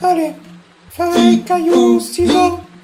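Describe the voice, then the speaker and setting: Over music in the background, a squeaky put-on character voice speaks at a very slow pace. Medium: audio drama. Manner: casual, sly.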